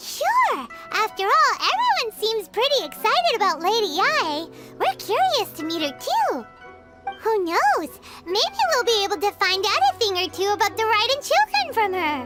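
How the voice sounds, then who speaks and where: Against clear music in the background, a squeaky, cartoonish character voice at an extremely high pitch moves at a moderate pace. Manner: chatty, speaks in third person.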